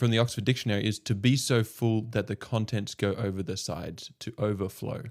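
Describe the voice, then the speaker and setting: A man with a slight Australian accent talks at a fairly quick pace with hardly any pauses, his pitch fairly low and his intonation fairly even. The recording is very clean, with a silent background. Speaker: podcast host. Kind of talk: casual chat.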